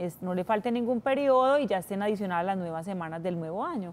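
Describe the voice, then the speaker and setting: The speaker moves at a fairly quick pace in a plain, everyday voice with ordinary pitch variation. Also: woman. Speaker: pension and labor lawyer. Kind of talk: TV call-in advice.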